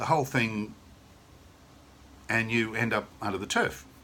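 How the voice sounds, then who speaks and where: With an Australian accent, the speaker keeps a moderate pace. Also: man. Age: 60s. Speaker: sales representative. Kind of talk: sales pitch. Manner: casual, conversational; enthusiastic.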